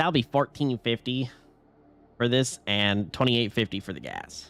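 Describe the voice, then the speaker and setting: Faint music sits behind a put-on character voice with ordinary pitch variation, recorded dry and close with no echo. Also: man, medium pitch for a man, moderate pace. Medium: virtual streamer. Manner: casual, slangy.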